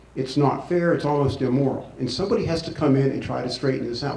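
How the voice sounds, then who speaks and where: With audible room echo and noticeable background noise, this man's medium-pitched voice shows ordinary pitch variation. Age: 60s. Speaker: former congressman and campaign surrogate. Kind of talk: forum speech.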